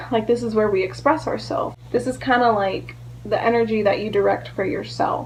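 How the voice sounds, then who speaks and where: A woman's voice over noticeable background noise. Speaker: astrology vlogger. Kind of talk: educational vlog talk. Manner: casual, filler-heavy.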